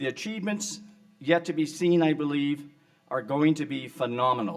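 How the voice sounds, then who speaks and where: A man in an ordinary speaking voice, lively in intonation, at a moderate pace. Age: 60s. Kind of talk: award acceptance speech. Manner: formal.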